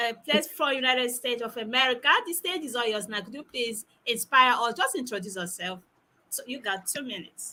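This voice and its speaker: A woman talks at a fairly quick pace with a non-native accent. Her pitch is high. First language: not English. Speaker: talk show host. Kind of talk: online panel moderation. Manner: animated.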